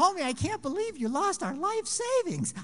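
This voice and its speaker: Extremely high and swinging very widely in pitch, this is a put-on character voice. Clear background noise runs behind it. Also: moderate pace. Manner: upset, scolding.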